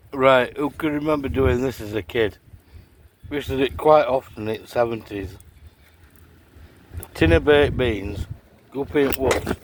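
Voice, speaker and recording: Over noticeable background noise, a man talks at a medium pitch with lively intonation and long, frequent pauses. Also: moderate pace. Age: 60s. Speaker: outdoor vlogger. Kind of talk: casual vlog talk. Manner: animated.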